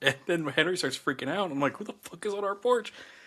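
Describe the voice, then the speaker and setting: The voice has a bright, sharp tone. Its intonation is lively. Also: man. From US South. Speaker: podcast co-host. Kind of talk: casual chat. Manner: animated.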